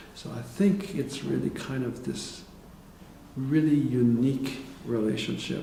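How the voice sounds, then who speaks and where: Audible room echo surrounds a man who speaks very slowly with ordinary pitch variation. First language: French. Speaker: psychotherapist and professor. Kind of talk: interview. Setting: conference. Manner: halting.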